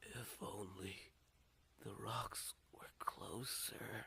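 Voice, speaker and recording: In a hoarse whisper, a man does a put-on character voice at a very slow pace. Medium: read story.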